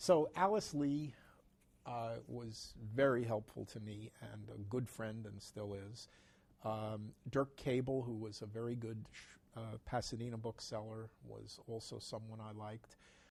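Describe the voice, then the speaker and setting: A man speaks with an American accent at a medium pitch. His pace is fairly slow and his intonation fairly even. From New York City. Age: 60s. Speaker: antiquarian bookseller. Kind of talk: interview. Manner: halting, many fillers.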